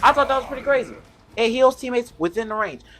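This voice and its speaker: Loud and animated, a woman speaks at a high pitch with lively intonation. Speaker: gaming youtuber. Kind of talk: game tutorial commentary.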